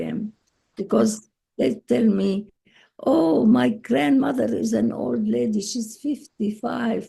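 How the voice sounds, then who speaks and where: Using vocal fry, a woman with a Palestinian accent speaks at a medium pitch with very wide pitch swings. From Palestine, Jerusalem and Bethlehem. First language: Arabic. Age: 80s+. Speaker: retired teacher and memoir author. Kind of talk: interview. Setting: video call.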